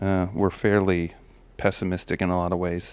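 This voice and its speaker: A man's very deep, low voice, monotone and flat, at a fairly quick pace on a very clean recording with a silent background. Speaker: self-help vlogger, father giving life advice. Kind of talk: casual monologue reading from a list. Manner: halting, many fillers and repeats.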